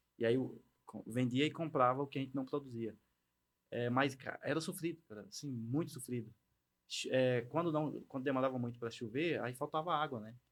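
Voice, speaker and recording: In a normal speaking voice, a man of medium pitch talks at a fairly quick pace with fairly even intonation. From Bahia sertão, Brazilian Northeast. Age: 30s. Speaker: agritech entrepreneur. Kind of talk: casual interview.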